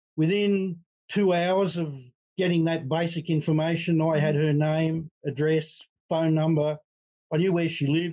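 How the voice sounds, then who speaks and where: A man's fairly high voice in a dark, mellow tone, monotone and flat, with very even loudness at a moderate pace. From Australia. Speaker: retired accountant, adoptee. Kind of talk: interview conversation.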